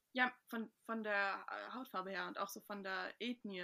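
Her medium-pitched voice has a bright, sharp tone, and the woman keeps her intonation fairly even. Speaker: podcast co-host, student. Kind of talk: casual chat.

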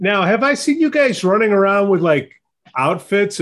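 Lively intonation runs through a plain, everyday voice that moves at a moderate pace. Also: man. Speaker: podcast host. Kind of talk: casual interview chat. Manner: jokey, informal.

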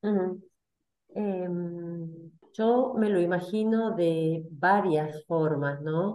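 Here a woman talks at a very slow pace with a fairly low pitch and a dark, mellow tone. Her pitch varies in an ordinary way. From Argentina, Salta. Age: 50s. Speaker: community member, compliance worker. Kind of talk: casual chat.

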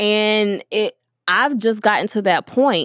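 A woman's medium-pitched voice with lively intonation, in a dry, close sound with no echo. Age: young. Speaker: podcast host. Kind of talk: casual monologue. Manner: hesitant, many fillers.

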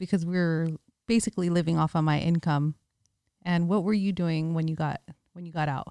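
With an American accent, a woman speaks at a fairly quick pace in a fairly low, dark, mellow voice with fairly even intonation and long, frequent pauses, the sound dry and close with no echo. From San Francisco Bay Area, California. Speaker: podcast co-host, investor. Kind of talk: casual chat. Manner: laughs often.

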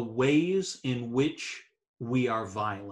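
Very slowly, a man speaks with lively intonation and a somewhat breathy sound. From Eastern Canada, New Brunswick. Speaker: theology professor. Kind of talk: casual interview.

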